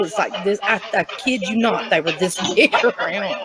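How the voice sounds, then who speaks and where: Against noticeable background noise, a woman with a strong Southern Appalachian accent talks in a fairly high-pitched voice. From eastern Tennessee (Appalachia). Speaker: guest telling life story. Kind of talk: interview, life story. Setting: TV show studio.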